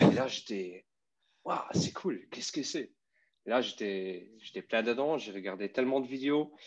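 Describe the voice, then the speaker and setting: Speaking with a Luxembourgish accent, a man goes at a fairly slow pace. Long, frequent pauses break up his speech. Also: medium pitch for a man, lively intonation. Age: 30s. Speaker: electric skateboard rider. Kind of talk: casual interview. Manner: halting.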